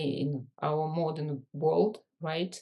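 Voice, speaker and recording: Over a quiet background, a woman speaks at a very deep, low pitch with fairly even intonation. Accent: Russian. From Russia. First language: Russian. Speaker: leadership and business coach. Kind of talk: podcast interview.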